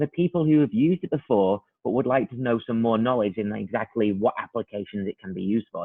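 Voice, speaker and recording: A man with a British accent talks at a very fast pace. His pitch is medium, with ordinary pitch variation. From UK. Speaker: product trainer. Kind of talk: webinar presentation. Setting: online webinar.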